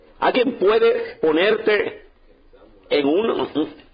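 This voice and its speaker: A man talks over noticeable background noise. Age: 60s. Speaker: pastor. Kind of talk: sermon. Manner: animated.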